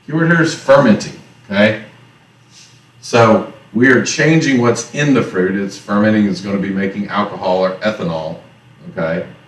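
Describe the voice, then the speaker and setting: In a Southern US accent, a man with a fairly low pitch talks at a moderate pace with lively intonation and long, frequent pauses, amid audible room echo. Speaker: teacher. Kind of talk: lecture. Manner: casual.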